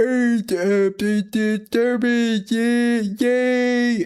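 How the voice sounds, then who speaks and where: The speaker uses a put-on character voice. It sits at a fairly high pitch. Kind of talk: playful. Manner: goofy, exaggerated.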